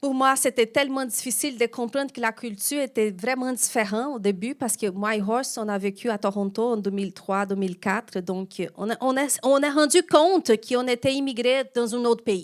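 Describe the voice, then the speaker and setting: The woman's pitch sits fairly high, with ordinary pitch variation. She keeps a moderate pace with hardly any pauses. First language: not French (speaking French). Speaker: pastor. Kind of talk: sermon.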